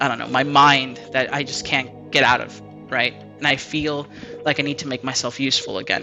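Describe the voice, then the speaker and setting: A man speaks at a moderate pace. Background music plays throughout. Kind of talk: casual talk to camera, unscripted rant. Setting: home mic, lower quality audio. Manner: occasional stammering.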